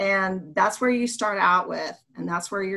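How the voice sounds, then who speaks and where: A woman's medium-pitched voice with vocal fry and ordinary pitch variation, in a very clean recording over a silent background. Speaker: elementary school teacher and podcast co-host. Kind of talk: casual educational podcast chat.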